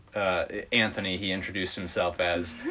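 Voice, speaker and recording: Speaking with an American accent, a man takes a fairly slow pace. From US Midwest. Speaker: travel podcast host. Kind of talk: casual round table chat; scripted podcast outro.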